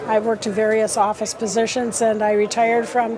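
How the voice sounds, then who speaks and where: Moderate-paced speech from a woman, with noticeable background noise. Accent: American. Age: 70s. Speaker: class reunion attendee. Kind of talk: casual interview. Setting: restaurant event.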